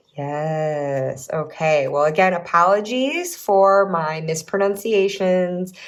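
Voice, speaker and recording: A woman with a Midwestern accent speaks at a medium pitch with ordinary pitch variation. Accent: Midwest American. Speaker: tarot reader and YouTuber. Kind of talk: reading aloud; casual chat.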